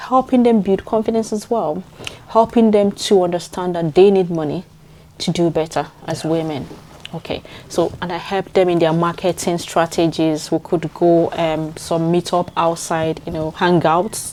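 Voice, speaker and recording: Over noticeable background noise, a woman with a Nigerian accent speaks at a moderate pace in a fairly low pitch with ordinary pitch variation. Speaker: community leader. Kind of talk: interview answer.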